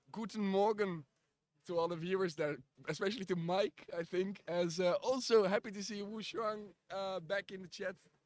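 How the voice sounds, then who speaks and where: A high-pitched man with a Dutch accent, fairly even intonation and a moderate pace. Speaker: live stream commentator. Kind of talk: live commentary. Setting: live stream. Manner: halting, many fillers.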